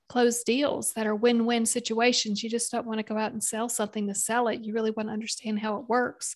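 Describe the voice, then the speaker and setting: A woman with a Southern US accent, fairly high-pitched and monotone, talking fairly quickly with hardly any pauses. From US South, South Carolina. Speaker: business consultant and podcaster. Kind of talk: interview.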